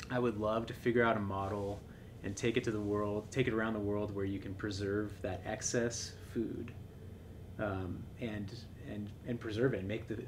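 A man with an American accent speaks in a fairly low, monotone, flat voice at a moderate pace over noticeable background noise. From Seattle, Washington; Washington. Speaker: tech startup co-founder; podcast guest. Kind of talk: interview podcast. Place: home room.

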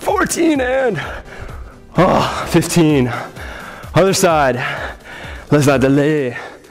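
Faint music plays in the background as a man speaks at a high pitch and a very slow pace. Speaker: fitness trainer. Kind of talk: workout instruction with counting. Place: gym.

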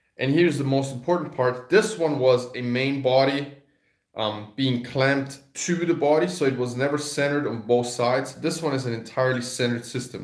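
A man at a fairly quick pace, with ordinary pitch variation, a quiet background and audible room echo. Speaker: carving teacher. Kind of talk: product demo tutorial. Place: home room. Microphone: phone near.

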